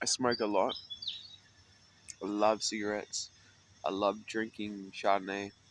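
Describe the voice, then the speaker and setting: Noticeable background noise sits behind a man talking at a fairly slow pace. His intonation is monotone and flat, broken by long, frequent pauses. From Australia, Sydney (North Mead). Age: 30s. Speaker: homeless musician vlogger. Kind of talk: casual personal vlog monologue. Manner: rambling, hesitant with fillers.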